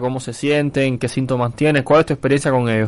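Against a quiet background, a man with a fairly high pitch talks at a very fast pace in a monotone, flat intonation. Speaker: independent journalist, co-host. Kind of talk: casual chat.

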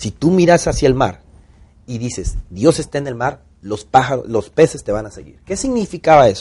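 Speaking with a Mexican accent, a man sounds animated and somewhat breathy, with lively intonation and big swings in loudness. The background is quiet. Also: medium pitch for a man, moderate pace. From Mexico, Tampico (Gulf coast). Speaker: actor and director. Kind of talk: casual interview storytelling.

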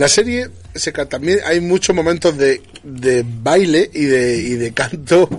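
A fairly high-pitched man at a very slow pace, lively intonation, and noticeable background noise. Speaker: podcast host. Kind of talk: casual chat.

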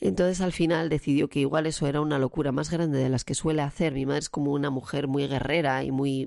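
In a very deep, low voice with a dark, mellow tone, a woman talks at a very fast pace with hardly any pauses, very even loudness and fairly even intonation. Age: 40s. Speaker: podcaster. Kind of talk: personal monologue. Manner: halting.

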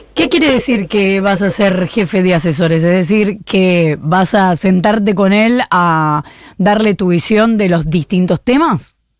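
A woman speaks in a normal speaking voice at a medium pitch, with ordinary pitch variation and very even loudness. Her pace is fairly slow, with hardly any pauses. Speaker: radio host. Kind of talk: morning radio show interview.

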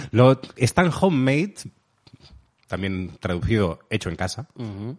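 Lively intonation marks this man's speech. He talks at a fairly slow pace. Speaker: podcast co-host. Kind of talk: casual chat. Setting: home recording.

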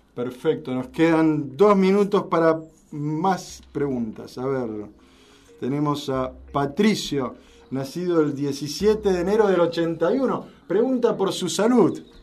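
Amid noticeable background noise and audible room echo, a man with a fairly high voice speaks very slowly with lively intonation. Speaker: radio host. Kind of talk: radio talk show.

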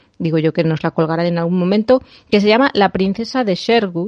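It is a normal speaking voice. A woman talks at a medium pitch that varies in an ordinary way. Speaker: podcast host. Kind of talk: casual chat. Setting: remote recording.

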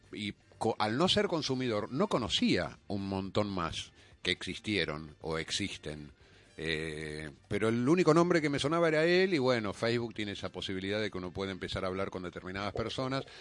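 His pitch is fairly low, and a man swings it very widely. He talks at a moderate pace. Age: 50s. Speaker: adult film actor. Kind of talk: radio interview. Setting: radio studio.

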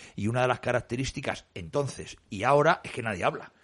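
A man with a normal speaking voice talks at a medium pitch and a fairly quick pace, with ordinary pitch variation. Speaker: radio host standing in for the director. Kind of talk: radio talk show panel discussion.

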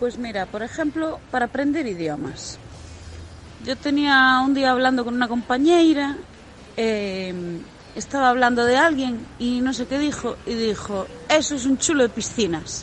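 With lively intonation and a high pitch, a woman talks at a fairly slow speed while noticeable background noise carries on behind her. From Galicia, Spain. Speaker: fan. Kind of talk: recorded anecdote.

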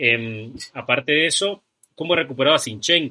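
A man's voice with lively intonation. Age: 20s. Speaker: football podcast host. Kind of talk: casual football talk show. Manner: animated.

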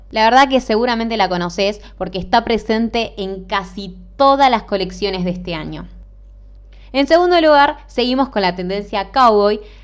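Her pitch sits in the medium range. The woman talks at a moderate pace with lively intonation. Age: 20s. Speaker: podcast host, footwear designer. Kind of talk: solo podcast monologue. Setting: home recording. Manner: halting.

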